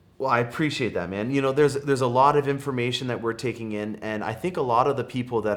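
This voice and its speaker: In a Canadian accent, the speaker talks at a very fast pace with ordinary pitch variation. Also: man. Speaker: car dealership employee and automotive YouTuber. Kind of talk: casual video intro and interview. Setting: studio set. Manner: enthusiastic, with filler words.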